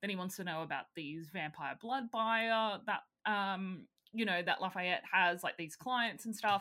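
In an Australian accent, a woman speaks at a medium pitch. Her pace is fairly slow, with ordinary pitch variation. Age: 30s. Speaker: podcast co-host. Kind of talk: casual chat.

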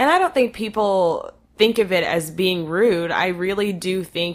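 A woman with an American accent has a plain, everyday voice with ordinary pitch variation. She speaks at a fairly slow pace on a very clean recording with a silent background. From North Texas. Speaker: podcast host. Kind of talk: casual chat.

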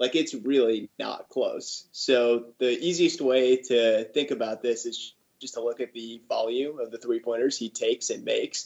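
A man speaks at a moderate pace. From US Midwest, Chicago. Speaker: basketball fan. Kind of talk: casual chat.

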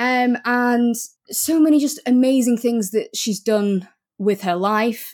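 The speech moves at a very slow pace with ordinary pitch variation. Loudness stays very even throughout. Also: woman, high pitch for a woman. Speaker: podcast co-host. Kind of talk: casual chat.

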